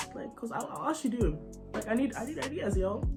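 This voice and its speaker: A woman speaks with music in the background. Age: young. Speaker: makeup content creator. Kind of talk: casual talk to camera. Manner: chatty, informal.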